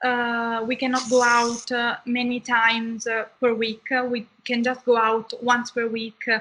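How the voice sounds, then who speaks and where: A woman's high-pitched voice, bright and sharp in tone, at a fairly slow pace with hardly any pauses and monotone, flat intonation. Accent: Italian. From southern Italy. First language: Italian. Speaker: medical student. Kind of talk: interview.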